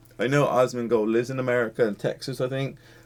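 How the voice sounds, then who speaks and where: A man at a medium pitch speaks with an English accent. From England. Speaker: YouTube reactor. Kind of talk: video reaction commentary. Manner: animated.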